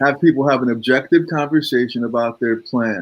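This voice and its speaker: The speaker is a man with a medium pitch. His pitch varies in an ordinary way. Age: 60s. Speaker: financial advisor. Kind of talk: interview conversation. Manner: hesitant, many fillers.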